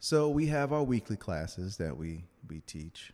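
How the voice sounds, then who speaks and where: Captured in a very clean recording with a silent background, the voice has a dark, mellow tone and lively intonation. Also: man. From Louisiana, New Orleans. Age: 30s. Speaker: attorney and dance instructor. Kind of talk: casual interview.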